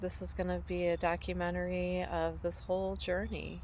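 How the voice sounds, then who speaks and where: Audible room echo surrounds a woman with a very deep, low pitch, who talks at a moderate pace with fairly even intonation. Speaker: homesteader and vlogger. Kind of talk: casual vlog monologue. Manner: halting, many fillers.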